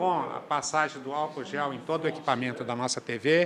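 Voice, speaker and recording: Over noticeable background noise, a man speaks at a fairly high pitch and a moderate pace with ordinary pitch variation. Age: 60s. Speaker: state legislator. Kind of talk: interview.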